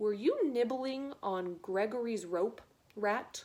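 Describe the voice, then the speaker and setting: A woman puts on a character voice with a fairly high pitch. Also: fairly slow pace. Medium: read story. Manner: speaks of himself in the third person, scolding.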